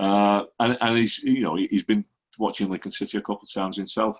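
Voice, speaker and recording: At a fairly quick pace, a man speaks with a Lancashire accent. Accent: Lancashire (Wigan) English. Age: 60s. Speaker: football fan podcaster. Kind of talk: casual chat.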